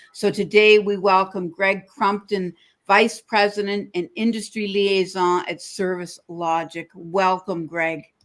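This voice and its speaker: Her pitch medium, a woman speaks in an unremarkable speaking voice at a fairly slow pace, with fairly even intonation and hardly any pauses. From Canada. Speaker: podcast host. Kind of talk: interview. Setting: live stream.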